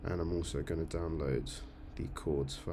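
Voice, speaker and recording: Audible room echo carries a man's very deep, low voice. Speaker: church music team coordinator. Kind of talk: screen-share tutorial. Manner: fast; hesitant, many fillers.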